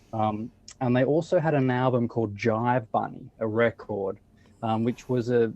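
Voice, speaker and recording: Medium pitch, moderate pace and fairly even intonation from a man with an Australian accent. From Australia, Sydney. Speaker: blues musician. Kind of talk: interview.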